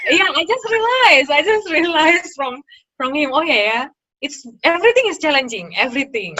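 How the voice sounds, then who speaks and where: This speaker has an Indonesian accent and a fairly quick pace. The pitch swings very widely. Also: woman, high pitch for a woman. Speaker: interview guest, former master's student. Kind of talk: casual interview chat. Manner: halting, many fillers.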